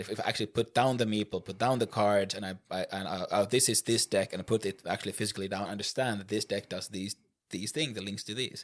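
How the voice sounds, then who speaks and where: A man with a Swedish accent speaks at a fairly quick pace in a fairly low pitch, his intonation fairly even, on a very clean recording with a silent background. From Finland (Finland-Swedish). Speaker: board game podcast co-host. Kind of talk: casual chat.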